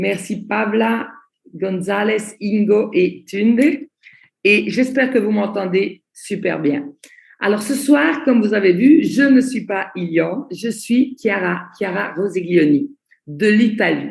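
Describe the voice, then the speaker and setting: A woman's very slow, medium-pitched speech with vocal fry and lively intonation. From Belgium. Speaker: network marketing trainer. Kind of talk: online training presentation. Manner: slow, deliberate.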